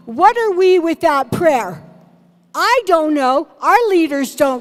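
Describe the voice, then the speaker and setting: At a very slow pace, a woman with a high pitch swings her pitch very widely while music plays in the background. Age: 60s. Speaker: political candidate. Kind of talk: candidate forum answer. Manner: impassioned.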